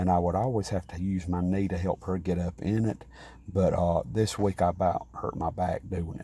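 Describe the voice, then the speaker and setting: A soft-spoken man talks at a moderate pace, his pitch very deep and low, his tone dark and mellow. He sounds somewhat breathy, with fairly even intonation. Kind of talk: casual vlog talk. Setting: at home beside sleeping mother. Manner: soft-spoken, talking low.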